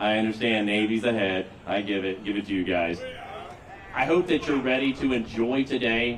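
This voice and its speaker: Noticeable background noise accompanies a speaker with an American accent. The delivery is fairly quick, with ordinary pitch variation. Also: man. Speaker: master of ceremonies, army veteran. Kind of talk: ceremony emcee speech. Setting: stage with audience. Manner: loud.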